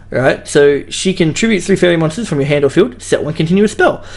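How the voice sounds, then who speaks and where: Fairly quick speech with an Australian accent. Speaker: card game YouTuber. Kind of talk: casual commentary video. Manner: fast; casual, hesitant.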